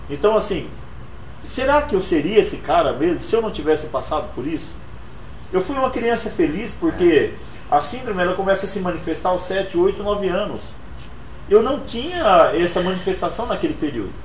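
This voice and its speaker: Speaking with lively intonation and a high pitch, a man moves at a fairly quick pace broken by long, frequent pauses, with audible room echo and noticeable background noise. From Brazil, Pernambuco (Altinho), moved to São Paulo as child. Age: 40s. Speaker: motivational speaker and author. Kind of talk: interview.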